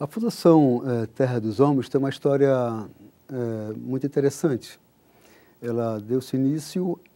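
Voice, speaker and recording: A dark, mellow tone comes at a fairly slow pace on a very clean recording with a silent background. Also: man. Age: 60s. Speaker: NGO country director. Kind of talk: TV interview. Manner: hesitant, many filler sounds.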